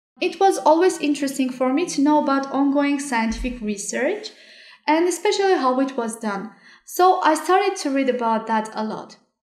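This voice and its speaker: A woman speaks at a high pitch with audible room echo. The background is quiet. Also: moderate pace. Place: home room.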